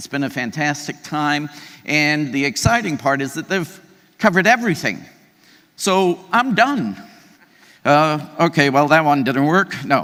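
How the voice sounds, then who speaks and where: Loud and bright with a sharp tone, a man speaks fairly slowly in a fairly high pitch with lively intonation. He leaves long, frequent pauses. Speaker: keynote speaker, CEO of an aging organization. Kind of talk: conference keynote talk. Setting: stage with audience. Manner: energetic, conversational.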